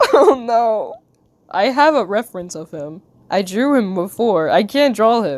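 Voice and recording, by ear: Intonation is lively as this person reads aloud in a natural voice.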